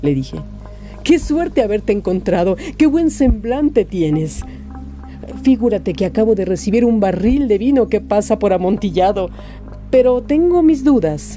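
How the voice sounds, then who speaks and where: With music in the background, a woman speaks at a moderate pace, leaving long, frequent pauses. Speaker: voice actor. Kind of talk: short story reading.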